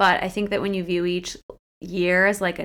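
Here a woman is talking. She speaks with a Midwestern American accent. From US Midwest, Akron, Ohio. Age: 20s. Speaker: fitness coach and podcast co-host. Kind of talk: casual interview chat.

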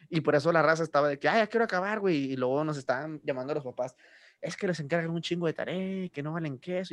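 In a dry, close sound with no echo and a quiet background, a man talks at a very fast pace with ordinary pitch variation. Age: 20s. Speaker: podcast host. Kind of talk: casual chat.

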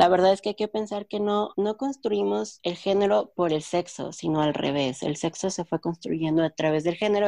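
A woman talks at a fairly quick pace with a medium pitch and ordinary pitch variation. Her tone is dark and mellow, and the sound is dry and close with no echo. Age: 20s. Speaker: linguist. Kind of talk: casual chat.

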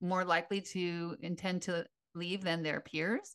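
An ordinary speaking voice from a woman, medium in pitch, at a moderate pace over a quiet background. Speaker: retired teacher, podcast co-host. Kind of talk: casual chat.

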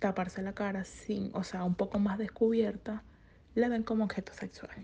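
A woman speaks here. Her tone is dark and mellow. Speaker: businesswoman. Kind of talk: panel talk.

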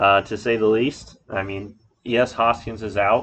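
An ordinary speaking voice belongs to this man. He talks at a fairly slow pace with fairly even intonation. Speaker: podcast host. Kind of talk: casual chat.

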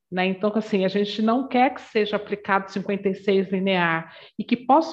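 A woman speaks in a warm tone at a fairly slow pace. Her pitch varies in an ordinary way. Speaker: diversity and anti-racist education consultant. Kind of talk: interview. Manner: warm, loving tone.

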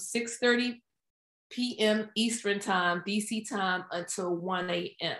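A woman with an American accent has an unremarkable speaking voice at a fairly high pitch. Her intonation stays fairly even. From Washington DC area. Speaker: project manager and author. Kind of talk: casual interview.

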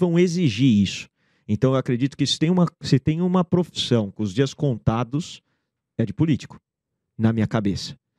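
A man's dark, mellow tone with lively intonation, in a dry, close sound with no echo. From Canada, Brazilian parents. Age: 40s. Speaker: business school founder and investor. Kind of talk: interview.

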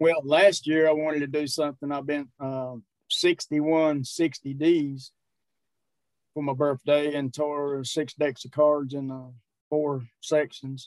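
Recorded dry and close with no echo, a man at a fairly high pitch speaks very slowly with monotone, flat intonation. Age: 60s. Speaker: strongman and powerlifter. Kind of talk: casual interview.

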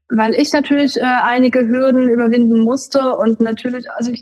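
A woman with a high pitch keeps fairly even intonation while talking at a moderate pace. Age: 20s. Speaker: cannabis patient. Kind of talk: interview.

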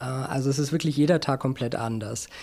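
Recorded very cleanly against a silent background, a man with an ordinary speaking voice and a fairly high pitch uses lively intonation. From Berlin. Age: 40s. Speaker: business journalist and media founder. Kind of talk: interview.

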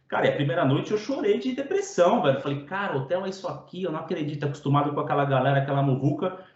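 A man talks at a very fast pace with hardly any pauses, his fairly high voice showing ordinary pitch variation. Noticeable background noise and audible room echo fill the recording. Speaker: podcast host. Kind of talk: podcast interview. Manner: casual, slangy.

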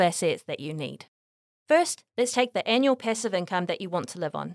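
A woman with a New Zealand accent at a fairly quick pace, very wide pitch swings, dry, close sound with no echo, and a very clean recording with a silent background. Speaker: property investment podcast host. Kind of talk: scripted narration. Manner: reading aloud.

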